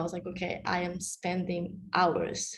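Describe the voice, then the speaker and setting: In a room with audible echo, a woman with a fairly low pitch and vocal fry talks at a fairly slow pace. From Mexico. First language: Spanish. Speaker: panelist, recent college graduate. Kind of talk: panel discussion.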